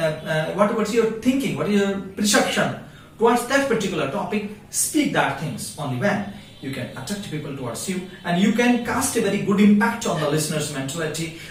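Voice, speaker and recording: Lively intonation at a moderate pace in an Indian accent, with audible room echo and noticeable background noise. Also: man. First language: Hindi. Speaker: English teacher. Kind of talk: tutorial. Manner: halting.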